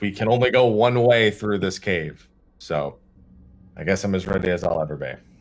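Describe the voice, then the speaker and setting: In a put-on character voice, a man speaks raspy and fairly low at a moderate pace. The recording is very clean, with a silent background. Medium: actual play. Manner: blunt.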